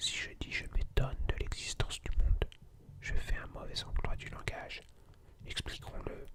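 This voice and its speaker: Whispering in a calm tone at a fairly slow pace, the speaker leaves long, frequent pauses amid noticeable background noise. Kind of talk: ASMR reading of a philosophy lecture. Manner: whispered; calm, relaxing.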